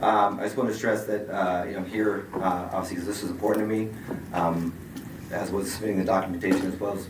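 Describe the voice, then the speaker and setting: Mumbling in a monotone, flat delivery, a man talks at a very fast pace amid noticeable background noise and audible room echo. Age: 50s. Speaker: certified responder facing a certification review. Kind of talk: statement at a hearing.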